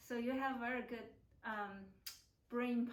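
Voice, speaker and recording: A woman at a fairly slow pace with fairly even intonation, in audible room echo. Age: 50s. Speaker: acupuncturist interviewing a client. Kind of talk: interview. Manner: halting, many fillers.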